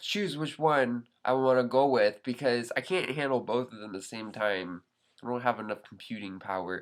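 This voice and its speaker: The man uses ordinary pitch variation on a very clean recording with a silent background. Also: fairly quick pace. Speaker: vlogger. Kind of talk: casual vlog monologue. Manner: sounds high, not articulate.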